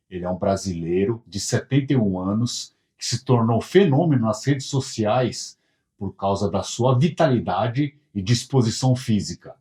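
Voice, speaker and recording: A man with a dark, mellow tone and a somewhat breathy voice speaks at a fairly slow pace. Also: medium pitch for a man, lively intonation. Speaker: interviewer, channel host. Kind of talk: show intro to camera. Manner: upbeat.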